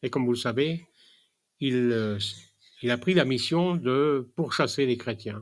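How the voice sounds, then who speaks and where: His speech comes very slowly. This man's medium pitch shows ordinary variation. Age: 80s+. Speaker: preacher. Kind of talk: sermon. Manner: halting, many hesitations.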